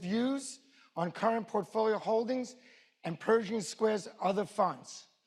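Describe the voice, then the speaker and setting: A man's high-pitched voice with a New York accent. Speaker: event host, wealth advisor. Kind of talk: formal event introduction; read-out legal disclaimer.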